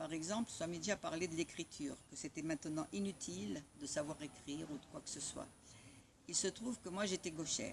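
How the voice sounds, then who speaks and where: Vocal fry runs through this fairly quick delivery, which has lively intonation. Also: woman, very deep, low pitch for a woman. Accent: Italian. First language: Italian (speaking French). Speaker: spiritual community member sharing memories. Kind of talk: personal storytelling. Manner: halting.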